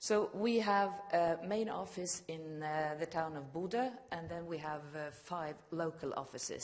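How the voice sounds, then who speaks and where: A woman with a Norwegian accent speaks with lively intonation. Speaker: regional broadcast manager. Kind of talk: conference presentation.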